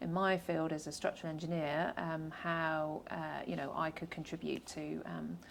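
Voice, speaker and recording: A woman's very deep, low voice with a British accent. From UK. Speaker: structural engineer, government advisor. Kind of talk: podcast interview.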